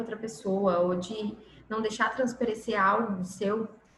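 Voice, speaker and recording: A woman with a fairly high pitch talks at a moderate pace amid audible room echo. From Minas Gerais, Brazil. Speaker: workshop instructor. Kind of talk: online lecture.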